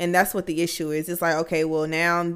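At a fairly quick pace, a woman with a fairly low pitch speaks in an animated tone, in a very clean recording with a silent background. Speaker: podcast co-host. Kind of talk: casual chat. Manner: animated, casual.

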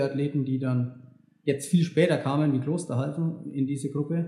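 The man has a dark, mellow tone. He talks with monotone, flat intonation. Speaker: elite marathon runner. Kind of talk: casual chat. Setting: recorded after a run. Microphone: poor sound quality.

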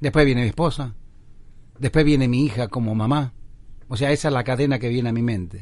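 With ordinary pitch variation and a medium pitch, a man speaks at a very fast pace broken by long, frequent pauses. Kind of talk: interview answers. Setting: remote link from home studio.

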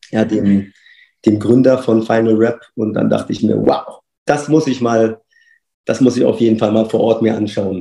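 A man's dark, mellow voice with vocal fry, fairly even intonation and a moderate pace. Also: medium pitch for a man. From Berlin, Germany. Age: 40s. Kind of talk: casual interview.

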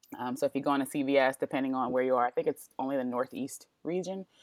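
A woman's very deep, low voice, fairly even in intonation, with a dry, close sound and no echo. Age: 40s. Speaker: author and blogger. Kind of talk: casual chat.

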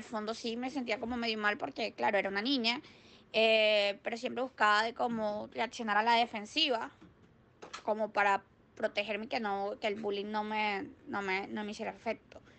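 The speaker has a Venezuelan accent and a bright, sharp tone, with ordinary pitch variation at a moderate pace. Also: woman. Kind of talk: interview answers. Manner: halting.

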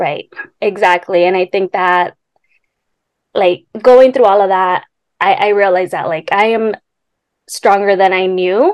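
A woman's medium-pitched voice in a Californian accent, fairly slow and fairly even, with long, frequent pauses and a dry, close sound free of echo. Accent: Californian American. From Los Angeles, San Fernando Valley. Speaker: graduate student. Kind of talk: interview.

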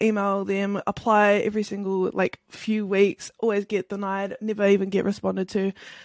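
With a New Zealand accent, a woman speaks at a medium pitch and moderate pace in a monotone, flat intonation, the sound dry and close with no echo against a quiet background. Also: hardly any pauses. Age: 20s. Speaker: Twitch streamer. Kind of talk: casual interview chat.

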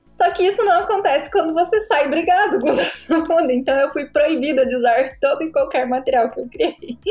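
A woman talks with hardly any pauses at an extremely high pitch, her pitch swinging very widely. Noticeable background noise is present. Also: moderate pace. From Brazil, Paraná. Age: 20s. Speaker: graphic designer and content creator. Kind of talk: casual interview chat.

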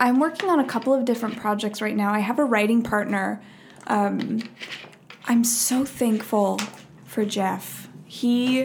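A woman talks at a fairly slow pace with a fairly high pitch and fairly even intonation. Noticeable background noise runs behind her. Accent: American. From Minnesota. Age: 20s. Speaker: actor. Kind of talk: casual chat.

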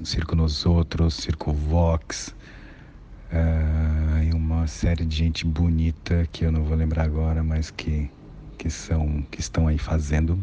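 A man's very deep, low voice, very slow and monotone, with flat intonation. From São Paulo, east zone (Guaianases). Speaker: actor, director and circus artist. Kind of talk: interview, personal career story.

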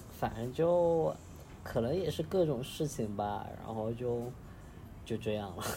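With a dark, mellow tone and a medium pitch, a man speaks somewhat breathily and with lively intonation at a fairly slow pace, leaving long, frequent pauses. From Chengdu, Sichuan. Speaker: data analyst traveling. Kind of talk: casual chat.

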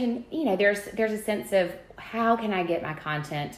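There is noticeable background noise. The speaker talks with an Alabama accent. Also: woman. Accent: US Southern (Alabama). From Alabama, Birmingham. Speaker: home decor influencer, Bible teacher. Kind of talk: personal testimony in conversation.

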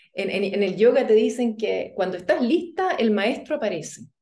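A woman speaks at a fairly high pitch with very wide pitch swings. Audible room echo surrounds the voice. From Chile. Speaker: yoga instructor. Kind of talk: interview conversation.

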